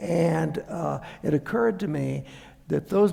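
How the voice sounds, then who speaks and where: With noticeable background noise and audible room echo, a man in an American accent speaks at a fairly high pitch with ordinary pitch variation. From US Deep South. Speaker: anthropology professor. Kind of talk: public lecture. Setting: theater with audience. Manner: halting, many fillers.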